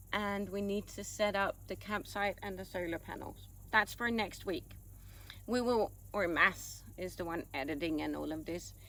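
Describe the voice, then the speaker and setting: A woman with a Danish accent talks at a moderate pace. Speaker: vlogger. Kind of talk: casual chat.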